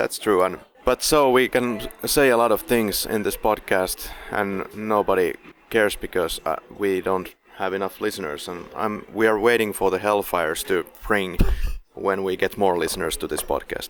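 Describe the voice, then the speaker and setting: Against noticeable background noise, a man speaks with a fairly low pitch and ordinary pitch variation. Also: moderate pace. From Finland. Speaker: film podcast host. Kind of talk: casual podcast discussion.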